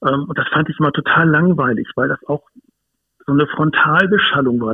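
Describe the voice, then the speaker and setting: Moving at a fairly quick pace, a man with an ordinary speaking voice talks at a fairly high pitch with ordinary pitch variation. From northern Germany, Hamburg. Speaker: dog behaviourist and wilderness educator. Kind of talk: interview. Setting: phone call.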